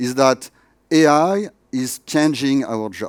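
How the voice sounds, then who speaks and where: A man with a French accent speaks at medium pitch with lively intonation in a very clean recording with a silent background. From France. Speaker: tech education executive. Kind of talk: conference keynote. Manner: hesitant with many fillers.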